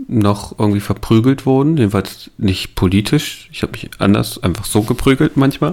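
Over noticeable background noise, a man talks at a moderate pace and medium pitch with lively intonation and hardly any pauses. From eastern Germany (Saalekreis near Halle). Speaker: podcast co-host. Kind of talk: casual chat.

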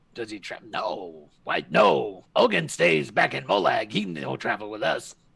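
A man uses a put-on character voice with a fairly low pitch. The voice is raspy. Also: moderate pace. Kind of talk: gruff goblin-esque speech. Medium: actual play. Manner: curt, clipped, ungrammatical.

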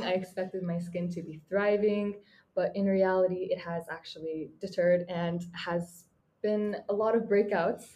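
Her tone is dark and mellow. The woman speaks at a medium pitch. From Mongolia. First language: Mongolian. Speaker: university student. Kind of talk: interview.

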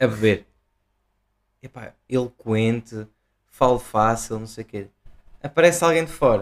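A man speaks at a fairly slow pace and a medium pitch, leaving long, frequent pauses. His pitch varies in an ordinary way while his loudness swings widely. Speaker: podcast co-host. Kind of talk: casual chat.

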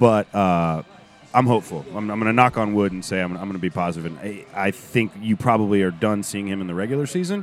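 A man's very fast speech at a fairly low pitch, with ordinary pitch variation and music in the background. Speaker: football fan content creator and voiceover artist. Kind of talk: casual podcast chat about soccer.

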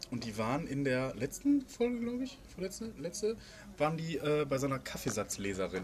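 Moderate pace and very wide pitch swings in a man's fairly high voice. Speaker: podcast co-host. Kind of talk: casual chat. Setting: outdoors.

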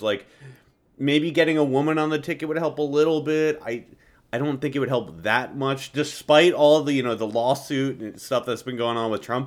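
In a very clean recording with a silent background, a man has an ordinary speaking voice, a fairly high pitch and ordinary pitch variation. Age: 20s. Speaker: political podcast host. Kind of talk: casual political discussion.

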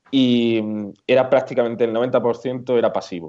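Speaking at a very slow pace, a man with an Andalusian accent has a medium pitch and a dark, mellow tone. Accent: southern Spanish (Andalusian). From Andalusia, Córdoba. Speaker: WooCommerce plugin developer and blogger. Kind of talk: casual interview.

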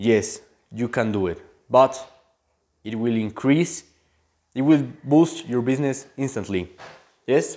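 In a very clean recording with a silent background, a man with a non-native accent and a dark, mellow tone talks at a fairly slow pace in a medium pitch, with ordinary pitch variation and long, frequent pauses. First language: not English. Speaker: online marketing coach. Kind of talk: motivational vlog talk. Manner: halting.

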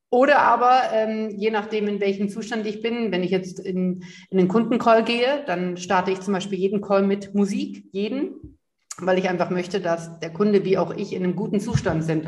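At a moderate pace and medium pitch, a woman speaks in a somewhat breathy voice with ordinary pitch variation. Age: 30s. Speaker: empowerment coach. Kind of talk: interview. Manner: animated.

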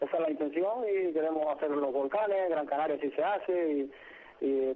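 Here is a man with an unremarkable speaking voice. His pitch is fairly high, with ordinary variation. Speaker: rally driver. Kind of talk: interview.

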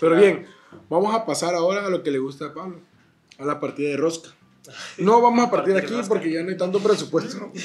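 Animated in tone, a man with a high pitch talks very fast with ordinary pitch variation, yet leaves long, frequent pauses. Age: 20s. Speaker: podcast co-host. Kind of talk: casual chat.

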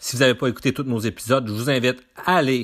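An ordinary speaking voice with fairly even intonation. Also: man. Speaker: podcast host. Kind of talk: interview. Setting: sports complex.

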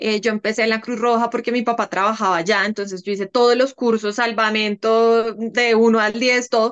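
A woman's normal speaking voice, fairly high in pitch, at a moderate pace, with a dry, close sound and no echo. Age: 30s. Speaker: café owner and lawyer. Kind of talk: interview.

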